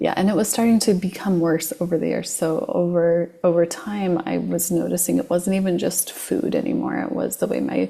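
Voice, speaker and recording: The woman's words come at a moderate pace. Noticeable noise fills the background. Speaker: hypnotherapist. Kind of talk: casual interview chat.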